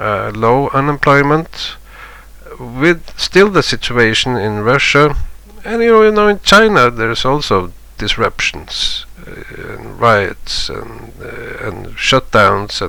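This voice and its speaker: A man talks at a very slow pace, with big swings in loudness. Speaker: market analysis youtuber. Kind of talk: chart analysis commentary. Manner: halting, many fillers and repeats.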